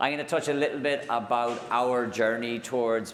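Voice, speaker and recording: A man speaks fairly quickly in an Irish accent. His intonation stays fairly even, and the room echo is audible. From Ireland. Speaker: technology executive. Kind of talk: conference keynote. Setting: stage with audience. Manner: hesitant, many fillers.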